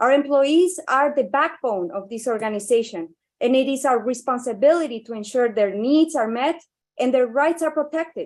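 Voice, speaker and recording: Against a quiet background, a woman with a non-native accent speaks at a high pitch and a moderate pace, her intonation lively. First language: not English. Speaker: part-time instructor and union representative. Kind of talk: public comment speech at board meeting. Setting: public board meeting. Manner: formal.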